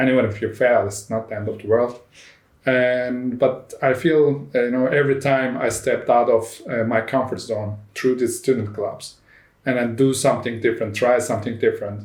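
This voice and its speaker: At a moderate pace, a man with a somewhat breathy, medium-pitched voice speaks with fairly even intonation. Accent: Turkish. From Turkey. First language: Turkish. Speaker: startup CEO. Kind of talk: interview. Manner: emphatic.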